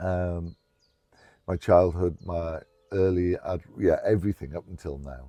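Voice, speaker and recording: With an English accent and a very deep, low voice of dark, mellow tone, a man talks at a fairly slow pace with fairly even intonation, big swings in loudness and long, frequent pauses over a quiet background. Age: 60s. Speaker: trauma recovery storyteller. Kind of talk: personal testimony interview. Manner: halting, many fillers.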